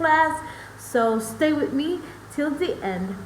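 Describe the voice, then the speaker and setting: A woman talks at a very slow pace with lively intonation. Room echo is audible, and background noise is noticeable. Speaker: English teacher for kids. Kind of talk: online class. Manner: animated.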